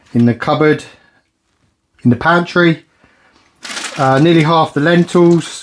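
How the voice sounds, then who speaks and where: A man with a British accent, fairly even intonation and a moderate pace. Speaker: budget cooking vlogger. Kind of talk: casual vlog talk to camera.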